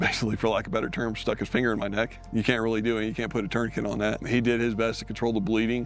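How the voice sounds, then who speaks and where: Music plays in the background as a man speaks at a very fast pace with hardly any pauses, a medium pitch and monotone, flat intonation. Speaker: wounded war veteran. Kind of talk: testimony.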